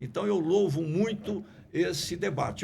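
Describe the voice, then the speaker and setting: Marked by vocal fry, a man talks at a fairly slow pace with audible room echo. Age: 70s. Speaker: politician and sociologist. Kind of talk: podcast discussion. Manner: formal.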